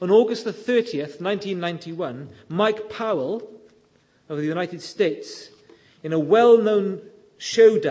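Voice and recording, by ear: Someone reads aloud here in a natural voice.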